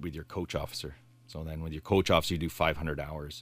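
A man talks with a Canadian accent. The recording is very clean, with a silent background. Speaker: police officer. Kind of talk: interview. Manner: animated when passionate.

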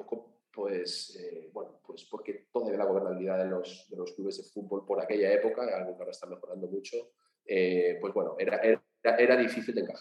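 A man talks at a moderate pace. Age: 40s. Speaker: sports business co-founder. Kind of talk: interview.

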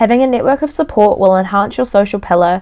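A woman with a New Zealand accent at a very fast pace. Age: 20s. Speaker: podcast host. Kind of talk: solo podcast monologue. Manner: casual, chatty with many fillers.

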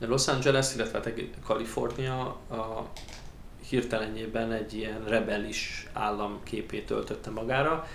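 There is noticeable background noise and audible room echo as a man speaks at a medium pitch with fairly even intonation. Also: fairly slow pace. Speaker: emigrant interviewee. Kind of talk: interview. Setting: studio table.

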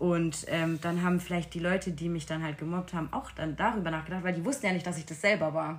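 Over noticeable background noise, a woman with a fairly low pitch and ordinary pitch variation talks at a very fast pace with hardly any pauses. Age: 20s. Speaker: retreat participant sharing bullying experience. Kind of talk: personal testimony in interview. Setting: room at a retreat in Portugal.

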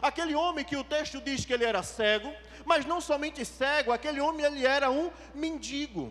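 A man talks at a fairly quick pace with an extremely high pitch. His pitch variation is ordinary. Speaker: preacher. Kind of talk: sermon. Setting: church. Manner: animated; fervent.

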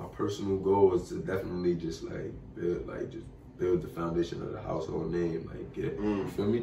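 Amid noticeable background noise and audible room echo, a man with an American accent talks fairly quickly in a very deep, low pitch, with fairly even intonation and big swings in loudness. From Bushwick, Brooklyn, New York. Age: young. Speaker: musician. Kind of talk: casual interview.

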